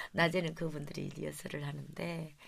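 With audible room echo, a woman speaks at a moderate pace in a very deep, low voice marked by vocal fry. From Gyeongju area, South Korea. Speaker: traditional vocal music performer. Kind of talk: interview.

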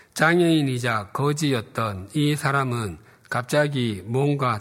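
A man speaks at a very slow pace in a medium pitch with ordinary pitch variation, recorded very cleanly against a silent background. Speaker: pastor. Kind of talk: sermon.

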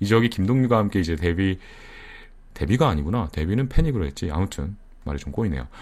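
A man with a very deep, low pitch talks at a very fast pace, his pitch swinging very widely. Long pauses come often. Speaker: online radio host. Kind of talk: casual live broadcast chat. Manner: laughing often.

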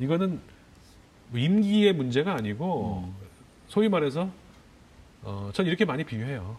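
Speaking at a fairly slow pace with long, frequent pauses, a man uses a fairly high pitch with very wide pitch swings. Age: 50s. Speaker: journalist. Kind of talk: interview.

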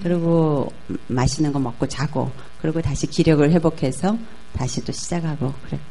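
Soft-spoken and very deep in pitch, a woman talks with fairly even intonation amid audible room echo and noticeable background noise. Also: moderate pace. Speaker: business executive. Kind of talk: talk show interview.

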